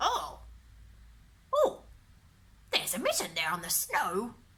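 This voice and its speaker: A woman in a put-on character voice. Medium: read story. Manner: repetitive croaking.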